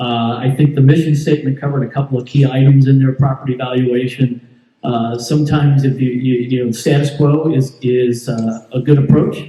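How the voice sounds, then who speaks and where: A man with an American accent speaks at a fairly quick pace in a medium pitch, his voice somewhat breathy with a dark, mellow tone and a monotone, flat delivery. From Southern California. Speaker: homeowners board candidate. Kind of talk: candidate speech at town hall. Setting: community town hall meeting. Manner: halting, many fillers.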